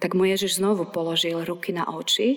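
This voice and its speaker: A woman with an ordinary speaking voice talks at a moderate pace, her medium pitch following fairly even intonation. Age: 40s. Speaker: pastor. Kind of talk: sermon.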